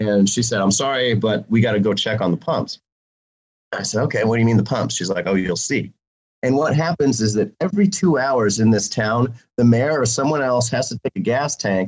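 The speaker has an American accent and ordinary pitch variation. It is a plain, everyday voice. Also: man, medium pitch for a man. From Missouri, Jefferson City. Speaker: political candidate. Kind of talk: interview.

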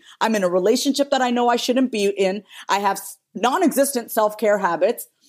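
With an animated tone, a woman talks at a moderate pace in a fairly high pitch with ordinary pitch variation, on a very clean recording with a silent background. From New York, Indian immigrant family. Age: 30s. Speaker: therapist and business strategist. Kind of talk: casual chat.

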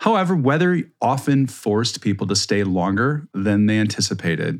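On a very clean recording with a silent background, a man with an American accent talks at a moderate pace in an unremarkable speaking voice, fairly low in pitch. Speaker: podcast host. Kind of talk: casual chat.

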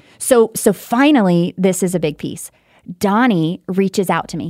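On a very clean recording with a silent background and a dry, close sound with no echo, a woman with an American accent talks at a moderate pace in an animated tone, her medium-pitched voice showing ordinary pitch variation. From Texas. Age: 30s. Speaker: tribute singer. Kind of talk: casual chat. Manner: emotional, animated.

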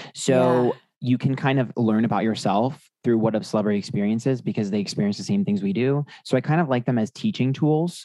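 A man at medium pitch, fairly quick in pace, with lively intonation and very even loudness. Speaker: tarot reader and YouTuber. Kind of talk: casual chat. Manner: sassy.

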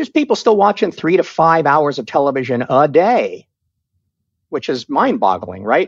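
There is vocal fry in this man's fairly high voice. He speaks at a moderate pace with very wide pitch swings. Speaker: television writer. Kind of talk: casual interview chat.

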